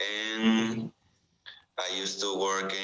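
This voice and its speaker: A man speaks very slowly in a Spanish accent with monotone, flat intonation. Room echo is audible. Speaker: student. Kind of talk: role-play job interview. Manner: halting.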